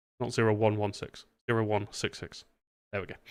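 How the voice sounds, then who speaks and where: A man with a British accent speaks in a fairly low pitch at a moderate pace, his intonation monotone and flat. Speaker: streamer and virtual air traffic controller. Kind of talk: live stream chat and radio control. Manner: casual, chatty.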